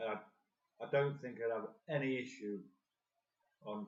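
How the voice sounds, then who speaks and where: A man with an English accent, medium pitch, moderate pace. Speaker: carp fishing video host. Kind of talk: live-stream tutorial. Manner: soft-spoken; louder than usual. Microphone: phone mic, sound might be dodgy.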